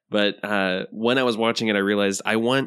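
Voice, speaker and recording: A man speaks in a normal speaking voice with an American accent. His pitch sits fairly low, and his intonation stays fairly even. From Florida Panhandle, US. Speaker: film podcast guest. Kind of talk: casual chat.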